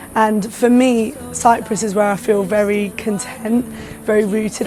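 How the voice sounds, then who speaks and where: A woman's monotone, flat delivery amid noticeable background noise. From London. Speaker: singer-songwriter. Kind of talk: interview answer.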